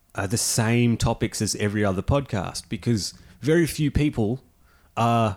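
In a very clean recording with a silent background, a normal speaking voice proceeds at a moderate pace. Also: man. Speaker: podcast host. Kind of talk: casual comedic banter reading news stories.

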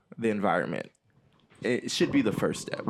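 A man speaks with vocal fry. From Haiti. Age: 30s. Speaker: podcast host. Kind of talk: casual chat.

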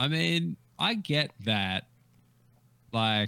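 A man talks at a medium pitch in an Australian accent. His tone is bright and sharp. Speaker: comedian. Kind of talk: casual chat. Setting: video call.

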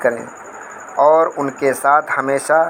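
Monotone, flat intonation from a fairly high-pitched man over noticeable background noise. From Faridabad, Haryana, India. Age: 40s. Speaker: parent. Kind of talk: opinion statement. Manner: halting.

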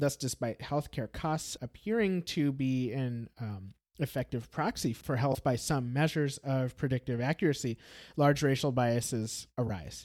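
In an unremarkable speaking voice, a man with an American accent talks at a moderate pace and medium pitch with ordinary pitch variation, recorded very cleanly against a silent background with a dry, close sound and no echo. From Brazil. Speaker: podcast host. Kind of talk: scripted narration.

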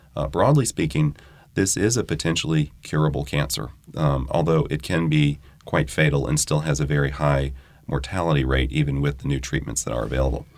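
Fairly quick speech from a man with a very deep, low pitch, vocal fry and ordinary variation in pitch. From New Orleans. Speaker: hematologic oncologist. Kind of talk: expert interview.

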